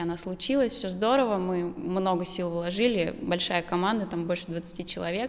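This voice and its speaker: Here a woman talks at a moderate pace. Her pitch shows ordinary variation. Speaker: interview guest. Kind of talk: interview answer. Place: studio. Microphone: handheld.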